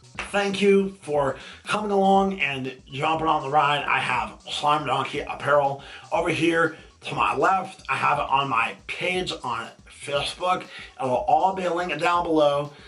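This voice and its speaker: Over noticeable background noise, a man talks at a fairly slow pace with a fairly high pitch and ordinary pitch variation. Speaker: fishing vlogger. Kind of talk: casual vlog talk to camera. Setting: in his workshop. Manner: slow, careful speech; halting, stumbles over words.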